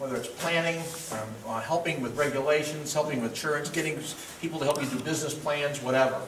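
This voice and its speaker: A man rattles through his words very fast and with fairly flat intonation while noticeable noise runs underneath. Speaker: workshop host. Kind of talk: introductory remarks to an audience. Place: hall. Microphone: camera far.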